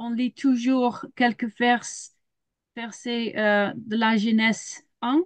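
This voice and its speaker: With a Dutch accent, a woman speaks at a very slow pace and a fairly high pitch. Her intonation is fairly even, and the sound is dry and close with no echo. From Netherlands. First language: Dutch (speaking French). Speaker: children's ministry leader and biologist. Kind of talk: webinar presentation. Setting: video call. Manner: halting, many hesitations.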